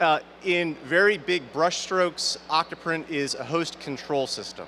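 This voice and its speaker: This man's voice is fairly high in pitch, with noticeable background noise present. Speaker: university professor giving conference talk. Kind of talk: conference talk. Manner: loud, projecting.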